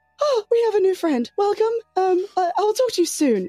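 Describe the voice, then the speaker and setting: The pitch sits extremely high in a put-on character voice. Words come at a moderate pace. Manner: timid, polite.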